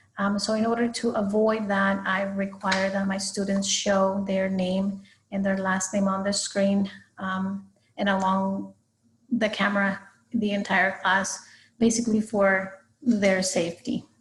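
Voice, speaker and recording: A woman with a Spanish accent speaks at a fairly slow pace in a medium pitch, her somewhat breathy voice staying monotone and flat. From Guatemala. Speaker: high school Spanish teacher. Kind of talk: recorded class presentation for parents. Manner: hesitant, frequent fillers.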